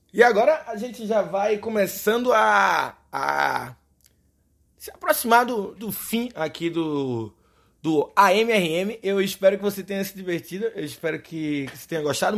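In a Recife accent, a man speaks at a high pitch with an animated tone, lively intonation and big swings in loudness. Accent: Recife accent, dropped R. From Brazil, Recife. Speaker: podcast host. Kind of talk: casual monologue. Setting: home recording in bedroom.

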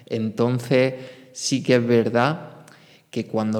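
A man speaks with a normal speaking voice. His pace is fairly slow and his pitch medium. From Spain. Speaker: podcast host. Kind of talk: solo monologue podcast.

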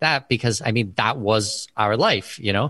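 Medium-pitched male voice with a bright, sharp tone, ordinary pitch variation and a quiet background. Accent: Canadian. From Canada. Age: 30s. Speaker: expat consultant. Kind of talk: casual interview.

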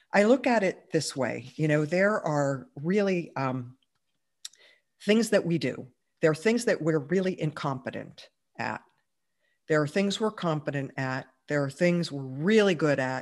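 With an American accent and lively intonation, the speaker goes fairly slowly with long, frequent pauses on a very clean recording with a silent background. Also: woman, very deep, low pitch for a woman. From Pittsburgh, US. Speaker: entrepreneur. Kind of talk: interview.

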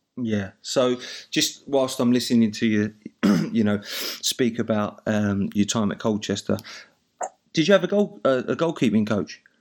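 At a fairly slow pace, a man with an Essex accent talks in a medium pitch with ordinary pitch variation. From Essex, England. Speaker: podcast host, goalkeeping coach. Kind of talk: casual chat. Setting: video call.

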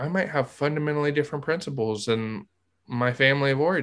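Fairly high in pitch, a man talks at a fairly quick pace in an unremarkable speaking voice. His pitch variation is ordinary, and the recording is very clean with a silent background. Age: 30s. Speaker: therapist podcast host. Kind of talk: casual podcast conversation.

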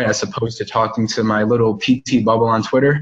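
A man with an American accent talks at a moderate pace and medium pitch, somewhat breathy. His intonation is monotone and flat. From Chicago, South Side. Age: 20s. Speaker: physical therapist. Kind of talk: casual interview. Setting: call.

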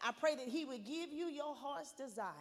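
With lively intonation, a woman speaks at a moderate pace. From Arkansas. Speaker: pastor's wife, guest minister. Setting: church. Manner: loud; fervent, rhythmic preacher cadence, rising with repeated 'I pray' declarations.

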